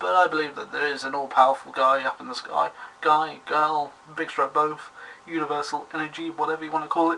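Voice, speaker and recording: Against noticeable background noise, a man talks at a fairly quick pace with fairly even intonation and big swings in loudness. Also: fairly high pitch for a man. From Britain. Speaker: vlogger. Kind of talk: video response vlog. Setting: webcam recording. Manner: formal; halting.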